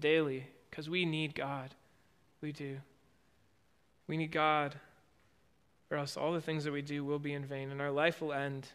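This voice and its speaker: A man's fairly high voice in monotone, flat intonation at a moderate pace, with long, frequent pauses, on a very clean recording with a silent background. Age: 20s. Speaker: pastor. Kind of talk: sermon. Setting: church.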